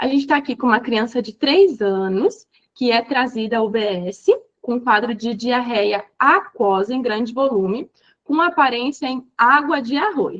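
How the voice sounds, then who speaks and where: Here a woman speaks in a high voice at a fairly slow pace. Her intonation is lively. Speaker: physician teaching exam review. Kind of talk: online lecture.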